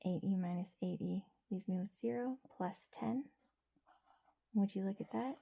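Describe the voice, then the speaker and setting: Soft-spoken and somewhat breathy, a woman whispers in a soothing tone at a moderate pace, with a dry, close sound and no echo. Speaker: ASMR creator. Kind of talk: ASMR math tutorial. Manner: whispered; soft-spoken, soothing.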